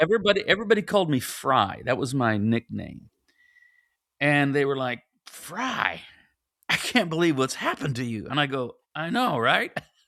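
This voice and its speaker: Bright and sharp in tone, a man's voice swings very widely in pitch. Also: fairly high pitch for a man, moderate pace. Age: 60s. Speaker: pastor and author. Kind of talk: casual chat. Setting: podcast interview.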